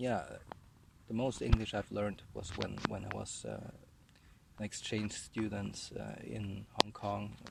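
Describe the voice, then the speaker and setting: Big swings in loudness mark a man's speech. He talks at a fairly slow pace with long, frequent pauses. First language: German. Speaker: vlogger. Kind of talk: casual monologue while walking. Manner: halting with many fillers and repetitions.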